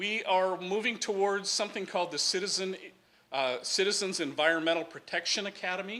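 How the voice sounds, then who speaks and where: Raised and projected, a man's high voice carries a bright, sharp tone, ordinary pitch variation and a fairly quick pace. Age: 60s. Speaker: sanitary district official. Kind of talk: public presentation. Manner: casual, joking.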